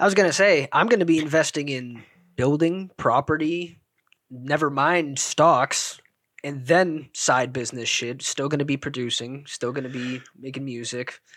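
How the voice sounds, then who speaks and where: Against a silent background in a very clean recording, a man with an unremarkable speaking voice speaks at a moderate pace. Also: fairly high pitch for a man, ordinary pitch variation. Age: 20s. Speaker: podcast co-host. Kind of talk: casual chat.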